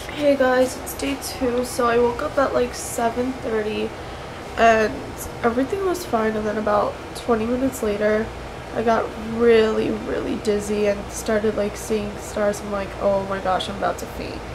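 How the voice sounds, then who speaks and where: There is noticeable background noise. A woman speaks at a moderate pace with ordinary pitch variation. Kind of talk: casual vlog chat. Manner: weak, congested post-surgery voice. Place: home room. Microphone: webcam.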